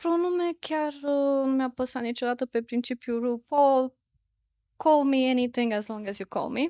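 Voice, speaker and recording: The recording is very clean, with a silent background and a dry, close sound with no echo. A woman speaks at a high pitch and a fairly slow pace. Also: ordinary pitch variation. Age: 30s. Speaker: psychotherapist. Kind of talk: interview.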